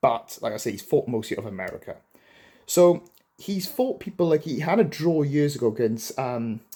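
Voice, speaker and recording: Speaking with a Welsh accent at a moderate pace, this dark, mellow voice makes very wide pitch swings. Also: man, fairly high pitch for a man. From Wales, Swansea. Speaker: boxing commentator. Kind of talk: casual commentary to camera. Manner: conversational, filler-heavy.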